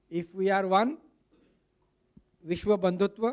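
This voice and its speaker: A high-pitched man's voice with a Marathi accent, at a moderate pace. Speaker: movement founder, summit speaker. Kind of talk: speech at a summit. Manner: code-switching Hindi and English.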